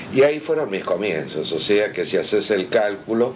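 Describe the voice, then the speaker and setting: A man with a Rioplatense accent speaks at a fairly slow pace and fairly low pitch amid noticeable background noise. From Argentina, Buenos Aires. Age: 60s. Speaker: comics artist. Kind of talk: interview.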